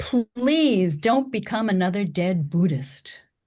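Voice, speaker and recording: A woman puts on a character voice that is raspy, at a medium pitch. Her pitch swings very widely at a fairly slow pace. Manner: scolding.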